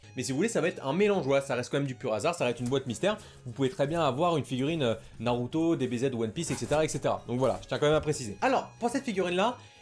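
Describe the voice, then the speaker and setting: Over music in the background, a man with a fairly high pitch talks at a very fast pace, his tone animated and his intonation lively. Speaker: YouTuber. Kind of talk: unboxing video.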